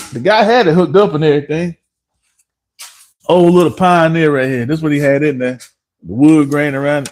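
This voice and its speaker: Animated and fairly quick, a man with a strong North Carolina accent talks at a fairly high pitch with ordinary pitch variation, leaving long, frequent pauses. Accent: heavy North Carolina. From North Carolina, Harnett County (Dunn). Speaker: car mechanic and livestreamer. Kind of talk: live stream chat.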